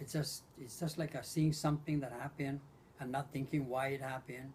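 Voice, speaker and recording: A man's somewhat breathy voice in a flat monotone. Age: 70s. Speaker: war survivor interviewed by grandson. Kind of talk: oral history interview. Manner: halting, repeats words.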